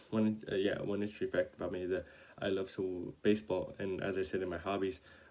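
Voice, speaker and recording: A man's fairly low voice at a fairly quick pace, in a monotone, flat intonation. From Oxnard, California. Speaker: college student. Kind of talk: class introduction video. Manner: halting, many fillers.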